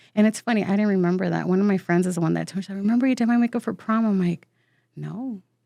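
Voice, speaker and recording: A woman speaks at a very fast pace with a medium pitch, a dark, mellow tone and fairly even intonation. The sound is dry and close with no echo, over a quiet background. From US South, San Antonio, Texas. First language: Spanish. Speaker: waxing specialist and salon owner. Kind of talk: casual interview chat.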